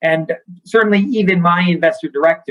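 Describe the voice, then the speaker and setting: A man with an American accent talks at a fairly quick pace in a plain, everyday voice with ordinary pitch variation. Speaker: bank founder and CEO. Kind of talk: interview.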